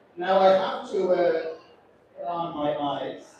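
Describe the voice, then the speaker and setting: At a fairly slow pace, a man talks amid noticeable background noise and audible room echo. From Ireland. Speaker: cruise ship captain. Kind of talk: onboard speech to passengers. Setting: ship deck event with audience. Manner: chatty and humorous.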